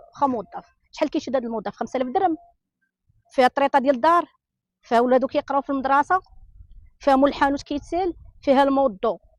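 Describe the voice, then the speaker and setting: Speaking very fast in an animated tone, a woman with a Moroccan accent uses a high pitch and takes long, frequent pauses, the sound dry and close with no echo. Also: ordinary pitch variation. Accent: Moroccan Darija. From Morocco. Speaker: interviewee in street report. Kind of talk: angry street interview rant.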